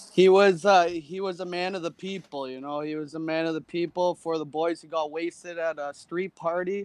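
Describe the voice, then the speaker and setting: Delivered in a Canadian accent at a moderate pace, the speech is monotone and flat, with hardly any pauses, big swings in loudness, and a dry, close sound with no echo. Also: man, high pitch for a man. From Canada, Toronto area. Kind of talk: casual chat.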